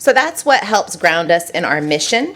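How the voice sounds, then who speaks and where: A fairly quick pace in a Southern California accent, with noticeable background noise. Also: woman. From Southern California, San Diego. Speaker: consultant. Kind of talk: presentation. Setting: council meeting. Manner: animated.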